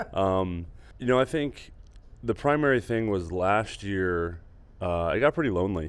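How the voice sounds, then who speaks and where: With a plain, everyday voice, a man talks at a moderate pace and a fairly low pitch, his intonation lively against a quiet background. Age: 30s. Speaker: retired baseball pitcher, player development coach. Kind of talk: casual interview.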